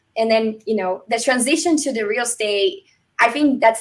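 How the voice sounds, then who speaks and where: With a Brazilian Portuguese accent, a woman talks at a fairly quick pace, her fairly high pitch showing ordinary variation. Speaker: real estate agent and military veteran. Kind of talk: interview.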